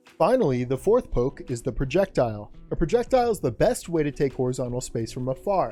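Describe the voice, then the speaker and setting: Music plays in the background as the voice moves fairly quickly with very wide pitch swings. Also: man. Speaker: fighting game guide creator. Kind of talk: game tutorial narration.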